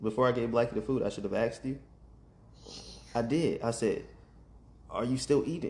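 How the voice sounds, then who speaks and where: A man talks at a fairly quick pace with vocal fry in his voice. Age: 30s. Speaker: podcaster and father. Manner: softens voice and whispers when talking to his son.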